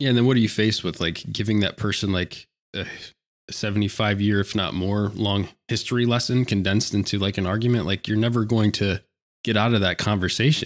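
Recorded very cleanly against a silent background, a man with an ordinary speaking voice and a fairly low pitch talks at a fairly quick pace with fairly even intonation. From rural Pennsylvania. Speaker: podcast host. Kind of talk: casual political discussion.

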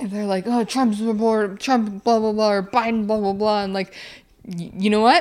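At a moderate pace, a woman with a fairly high pitch talks in an unremarkable speaking voice with fairly even intonation. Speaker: podcast co-host. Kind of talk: casual comedic chat. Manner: playful, joking.

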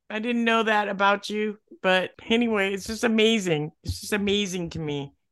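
A woman talks at a moderate pace in a normal speaking voice, her pitch medium and its variation ordinary. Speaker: podcast co-host. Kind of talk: scripted podcast hosting.

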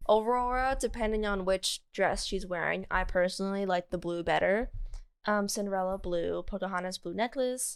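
On a very clean recording with a silent background, a woman speaks at a medium pitch and a moderate pace. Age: 20s. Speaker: podcast co-host. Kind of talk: casual chat. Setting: co-host's apartment. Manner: animated.

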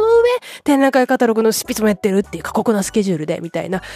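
A woman's fairly high-pitched voice, dry and close with no echo, over noticeable background noise. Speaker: podcaster. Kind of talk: casual solo podcast talk. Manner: fast; subdued, relaxed late-night talk.

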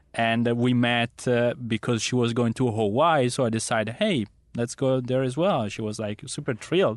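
A man with an Italian accent speaks at a moderate pace with a medium pitch. His pitch variation is ordinary, and there are hardly any pauses. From Milan, Italy. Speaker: dating app founder. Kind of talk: casual interview. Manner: halting, many fillers.

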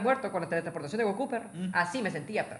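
A man speaks at a high pitch in a bright, sharp tone. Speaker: podcast co-host. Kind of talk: casual chat.

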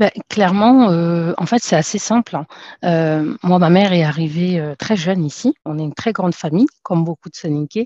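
Recorded dry and close with no echo against a quiet background, the voice has a dark, mellow tone, a moderate pace and ordinary pitch variation. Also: woman, fairly low pitch for a woman. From France. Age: 30s. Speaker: entrepreneur. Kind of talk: interview.

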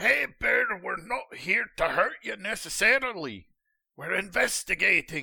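Putting on a character voice, a man speaks at an extremely high pitch in a raised, projected, raspy voice at a fairly slow pace. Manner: calm, reasoning.

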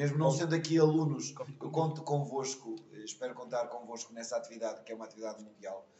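Very fast speech from a man at a medium pitch, ordinary in its pitch variation, amid noticeable background noise. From Portugal. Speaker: schoolteacher. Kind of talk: interview.

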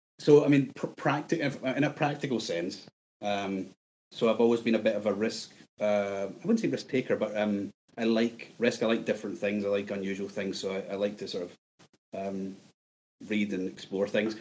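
A man speaks at a moderate pace. His pitch sits fairly low for a man. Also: ordinary pitch variation. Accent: strong Scottish. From Scotland. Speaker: bitcoin podcaster guest. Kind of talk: casual interview chat.

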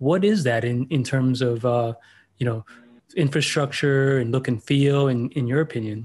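A man with an American accent has a normal speaking voice at medium pitch. He keeps a moderate pace, ordinary pitch variation and very even loudness. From Miami, Florida. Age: 40s. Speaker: podcast host. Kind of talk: interview.

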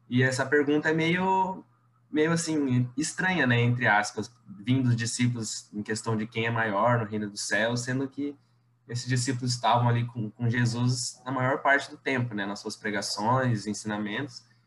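A man's voice sits at a medium pitch. Noticeable background noise accompanies him. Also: ordinary pitch variation, moderate pace. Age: 20s. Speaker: university student and prayer group coordinator. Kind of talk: casual chat.

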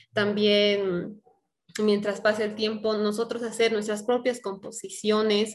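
In a plain, everyday voice, a woman with a fairly high pitch speaks at a fairly slow pace. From Bolivia, La Paz. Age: 20s. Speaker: singer. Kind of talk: interview.

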